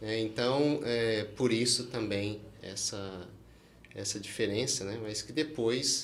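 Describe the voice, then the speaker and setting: A man with a strong Minas Gerais accent talks at a very slow pace in a medium pitch, his intonation fairly even, with audible room echo and noticeable background noise. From Brazil, Minas Gerais (rural). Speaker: oral and maxillofacial surgeon. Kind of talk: podcast interview.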